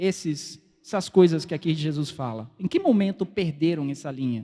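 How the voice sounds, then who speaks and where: A man speaks at a fairly slow pace with a non-native accent, his dark, mellow tone carried by lively intonation on a very clean recording with a silent background. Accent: foreign, non-native Portuguese. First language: Spanish (speaking Portuguese). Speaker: preacher. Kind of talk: sermon. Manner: halting.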